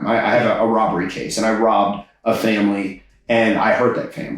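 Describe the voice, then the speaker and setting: A man with an American accent at moderate pace, with audible room echo. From Texas, Houston area (Katy). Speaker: stand-up comedian. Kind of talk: interview conversation.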